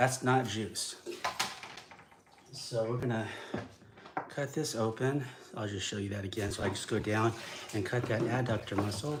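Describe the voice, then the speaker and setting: Against noticeable background noise and audible room echo, a man speaks at a moderate pace with ordinary pitch variation. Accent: American. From California Central Coast. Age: 60s. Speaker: outdoor cooking video host. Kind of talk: live tutorial demonstration. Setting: live stream. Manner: halting with frequent fillers.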